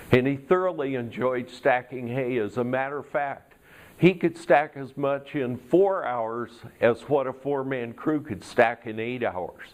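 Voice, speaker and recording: A man talks at a fairly slow pace with a medium pitch and ordinary pitch variation. His is a plain, everyday voice. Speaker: Toastmasters speaker. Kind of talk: tall tale storytelling speech.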